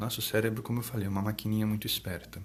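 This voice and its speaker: A man speaks softly in a fairly low, somewhat breathy voice. His intonation stays fairly even. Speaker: psychologist. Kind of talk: live stream talk. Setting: live stream. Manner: soft-spoken. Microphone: too quiet, moved closer to mic.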